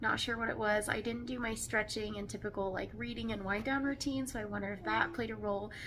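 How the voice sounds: At a fast pace, a woman speaks with a fairly high pitch and fairly even intonation.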